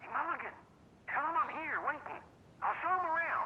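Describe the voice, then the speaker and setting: Clear background noise sits behind this put-on character voice. Its pitch is extremely high and its pace fairly quick. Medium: video game. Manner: loud, blunt.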